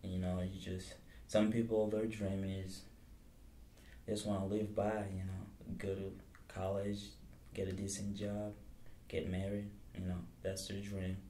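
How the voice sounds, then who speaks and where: In a room with audible echo, a man speaks in a dark, mellow, somewhat breathy tone with monotone, flat intonation and long, frequent pauses. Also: moderate pace. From Mali. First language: Bambara / French. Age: 20s. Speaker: college student. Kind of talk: interview.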